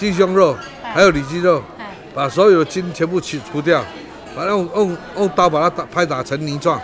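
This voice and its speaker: Crowd noise sits in the background, and room echo is audible. The speech moves at a moderate pace with ordinary pitch variation. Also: man, high pitch for a man. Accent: Taiwanese. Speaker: chef. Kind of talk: casual interview.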